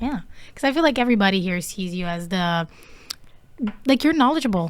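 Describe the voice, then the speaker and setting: A woman speaks at a medium pitch. She has an Italian accent. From Italy. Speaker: podcast host and musician. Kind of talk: interview. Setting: studio.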